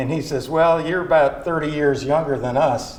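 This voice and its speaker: A man with an American accent, monotone and flat, at a fairly quick pace over noticeable background noise. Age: 70s. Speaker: retiree resident. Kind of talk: casual interview. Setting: at home.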